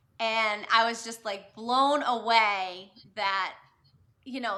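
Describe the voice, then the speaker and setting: There's a slight Boston accent to this woman's speech. Her voice is fairly high, with a bright, sharp tone. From Massachusetts, Boston area. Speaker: novelist. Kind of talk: live video chat interview. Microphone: quieter, more distant.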